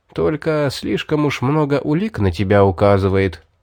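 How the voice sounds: The passage comes in a natural reading voice with lively intonation.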